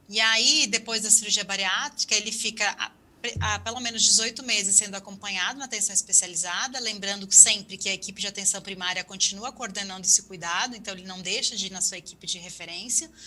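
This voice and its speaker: Speaking at a very fast pace with hardly any pauses, a woman with a medium pitch keeps a fairly even intonation through big swings in loudness against noticeable background noise. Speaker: health ministry official. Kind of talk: webinar panel answer.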